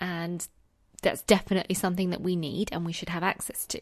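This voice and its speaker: A woman with a London accent speaks at a fairly quick pace in a warm, passionate tone at a medium pitch, with a quiet background. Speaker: secondary school teacher and podcast host. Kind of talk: solo podcast monologue. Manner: warm, conversational, passionate.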